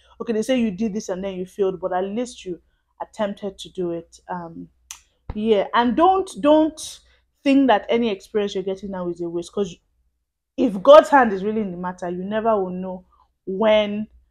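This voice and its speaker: A woman's medium-pitched voice with ordinary pitch variation and big swings in loudness, over a quiet background. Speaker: vlogger. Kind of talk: casual talk to camera. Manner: fast.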